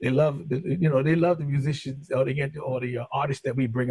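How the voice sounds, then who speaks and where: Somewhat breathy, a man speaks very fast at a fairly high pitch. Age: 50s. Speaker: music label owner and radio DJ. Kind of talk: casual interview chat. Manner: halting, many fillers.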